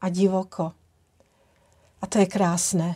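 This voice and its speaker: A woman speaks at a fairly slow pace in a dark, mellow tone with monotone, flat intonation. The recording is very clean, with a silent background. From Czech. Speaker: holistic trainer, tantra massage teacher and founder of a training brand. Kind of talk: casual talk to camera, personal introduction. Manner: warm, gentle, grateful.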